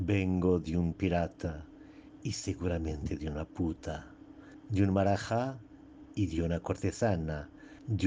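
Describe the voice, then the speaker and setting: In a Portuguese accent, a man speaks at a very slow pace. His pitch is very deep and low, with a dark, mellow tone. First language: Portuguese (speaking Spanish). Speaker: poet. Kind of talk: poetry reading. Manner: halting.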